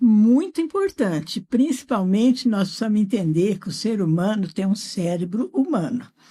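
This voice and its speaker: A woman's fairly high, dark, mellow, somewhat breathy voice, with lively intonation, a moderate pace and hardly any pauses. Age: 70s. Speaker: educator. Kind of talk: interview. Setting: studio.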